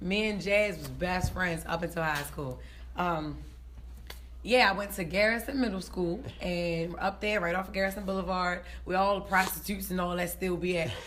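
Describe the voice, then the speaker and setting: Raspy and marked by vocal fry, a woman talks in an animated tone with audible room echo. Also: fairly low pitch for a woman, moderate pace. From West Baltimore, Maryland. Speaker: comedian. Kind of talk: casual interview.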